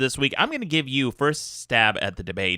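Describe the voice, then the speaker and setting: A man's bright, sharp voice with very wide pitch swings, the sound dry and close with no echo, on a very clean recording with a silent background. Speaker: podcast host. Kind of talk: podcast debate talk.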